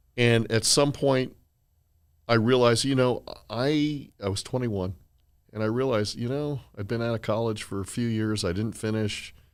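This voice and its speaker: A man's ordinary speaking voice with an American accent, medium in pitch, moderate in pace, and fairly even in intonation. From Miami, Florida. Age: 60s. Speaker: healthcare attorney. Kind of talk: casual interview chat.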